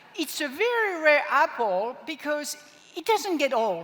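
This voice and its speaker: Over noticeable background noise, a woman with a French accent speaks with very wide pitch swings. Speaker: product trainer. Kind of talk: product training presentation.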